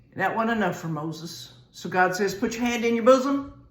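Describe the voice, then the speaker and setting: The intonation is lively, in a Southern US accent at a moderate pace. Noticeable background noise and audible room echo fill the recording. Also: woman. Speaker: Bible teacher. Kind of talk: sermon. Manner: casual, conversational.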